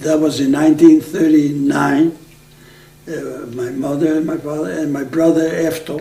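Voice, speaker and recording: Against noticeable background noise, a man speaks with a Macedonian accent at a fairly high pitch. His delivery is monotone and flat, at a moderate pace. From Aegean Macedonia, northern Greece. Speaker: oral history interviewee. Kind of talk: oral history interview. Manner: halting.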